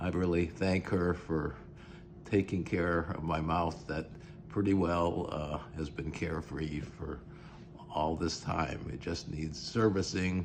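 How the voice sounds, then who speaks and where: A man talks at a very slow pace in a very deep, low pitch with fairly even intonation. Audible room echo surrounds the voice. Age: 80s+. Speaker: dental patient. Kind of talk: testimony. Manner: halting.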